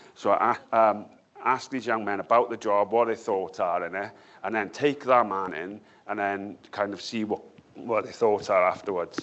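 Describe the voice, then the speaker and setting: Animated in tone, a man with a South Wales accent speaks at a moderate pace and a fairly low pitch. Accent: Valleys. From South Wales Valleys. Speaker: academic researcher and author. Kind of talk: panel discussion. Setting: book launch event with audience. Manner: animated, repetitive.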